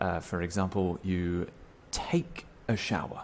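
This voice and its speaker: A man with a British accent. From Britain. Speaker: English teacher. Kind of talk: tutorial. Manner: slow, clear enunciation with repetitions.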